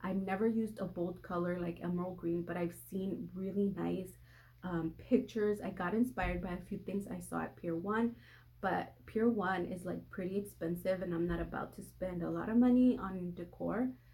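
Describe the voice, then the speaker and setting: At a moderate pace, a woman speaks in a medium pitch with a dark, mellow, somewhat breathy tone and fairly even intonation. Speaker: lifestyle vlogger. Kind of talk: casual haul video.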